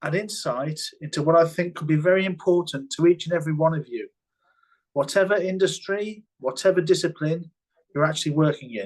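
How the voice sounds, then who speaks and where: A man with a British accent speaks at a high pitch. His pace is fairly quick, with ordinary pitch variation. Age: 60s. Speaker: health and safety consultant. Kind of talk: webinar presentation.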